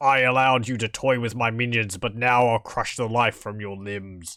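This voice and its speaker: A bellowing, put-on character voice. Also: man, medium pitch for a man, moderate pace. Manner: bellowing, menacing.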